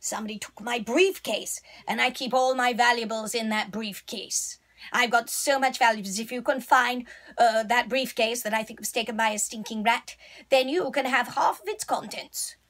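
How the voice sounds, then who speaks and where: A female-sounding voice puts on a character voice, high-pitched for a woman, at a moderate pace. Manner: pompous, self-satisfied.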